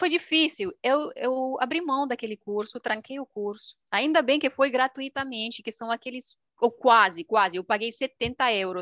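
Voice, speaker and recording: A woman's high-pitched voice, fairly slow with hardly any pauses, in dry, close sound with no echo. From rural Romania, Transylvania. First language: Romanian (speaking Portuguese). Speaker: YouTuber. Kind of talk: casual interview. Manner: talkative.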